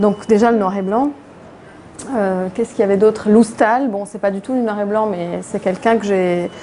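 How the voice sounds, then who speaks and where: With fairly even intonation, a woman speaks at a moderate pace and a medium pitch. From Lebanon, Beirut. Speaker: comic book author. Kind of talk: public interview. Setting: event with live audience. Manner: halting, many repetitions.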